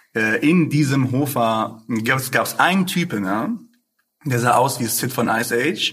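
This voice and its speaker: Speaking at a fairly slow pace, a man has an ordinary speaking voice, a medium pitch and ordinary pitch variation. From Ruhr area, Essen. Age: 20s. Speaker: rapper. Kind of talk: casual interview.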